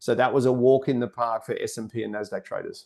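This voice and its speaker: The background is quiet. A man of medium pitch talks at a fairly quick pace. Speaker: day trading educator. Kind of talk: live trading commentary. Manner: loud; animated.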